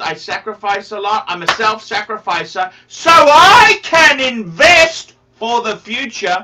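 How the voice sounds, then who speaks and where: Light background noise underlies a woman who talks with lively intonation and hardly any pauses. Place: home room. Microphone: video call.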